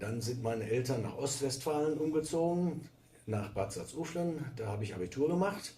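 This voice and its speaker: Intonation is lively at a moderate pace. Audible room echo surrounds the voice. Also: man, fairly high pitch for a man. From Westphalia, Germany. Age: 60s. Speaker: teacher. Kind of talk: interview.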